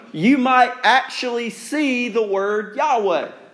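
A man with an extremely high pitch and lively intonation, plus audible room echo. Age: 30s. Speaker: pastor. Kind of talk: sermon.

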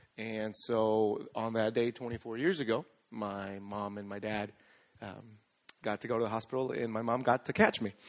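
A man with an ordinary speaking voice, medium in pitch, at a moderate pace with fairly even intonation. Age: 20s. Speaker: youth minister. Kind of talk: testimony. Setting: church.

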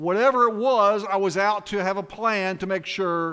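Using a raised, projected voice, a man speaks at a fairly slow pace in a high pitch with a bright, sharp tone. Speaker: lay preacher, fill-in for pastors. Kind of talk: sermon. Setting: church.

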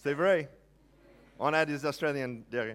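With an American accent and lively intonation, a man speaks in a very clean recording with a silent background. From United States. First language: English (speaking French). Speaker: pastor. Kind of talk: sermon. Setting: church.

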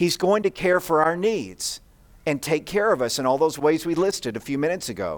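Very clean recording with a silent background, a man at a fairly high pitch and moderate pace. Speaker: pastor. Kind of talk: sermon. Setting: church service with congregation. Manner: interactive, addressing audience directly.

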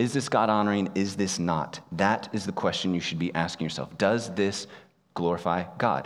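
Fairly quick male speech with audible echo from the room. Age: 30s. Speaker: pastor. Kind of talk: sermon.

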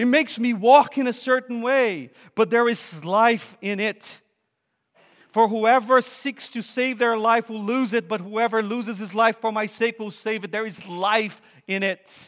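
With a Portuguese accent, a man speaks fairly slowly in a high pitch, his intonation fairly even. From Brazil. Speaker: visiting preacher. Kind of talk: sermon.

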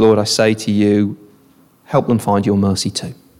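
A put-on character voice sounds strained, keeping fairly even intonation at a moderate pace. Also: man, fairly low pitch for a man. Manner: through gritted teeth, strained anger.

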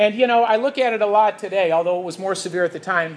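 Speech comes at a very fast pace in a Chicago accent. The pitch varies in an ordinary way. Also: man. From US Midwest, Chicago. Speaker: church teacher. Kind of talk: lecture.

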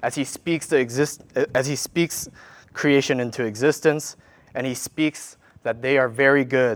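In a very clean recording with a silent background, a man with a Korean accent speaks at a fairly slow pace with fairly even intonation. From South Korea, moved to US in childhood. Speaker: worship leader preaching. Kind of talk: sermon. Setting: church.

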